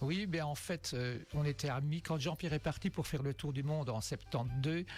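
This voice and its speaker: A man's somewhat breathy, fairly high voice at a moderate pace, with ordinary pitch variation and very even loudness. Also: very clean recording, silent background. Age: 60s. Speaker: amateur cyclist, charity fundraiser. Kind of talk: radio interview. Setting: radio studio.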